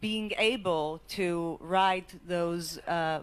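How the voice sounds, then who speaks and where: A woman with an Israeli accent speaks at a fairly low pitch with ordinary pitch variation. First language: Hebrew. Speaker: education lawyer. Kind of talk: panel discussion.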